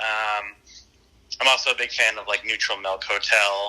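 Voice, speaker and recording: Bright and sharp in tone, a man speaks with an American accent. His pitch is medium and his pace moderate. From eastern Pennsylvania, Lehigh Valley. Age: 20s. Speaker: indie musician. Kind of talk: interview. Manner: hesitant, many fillers.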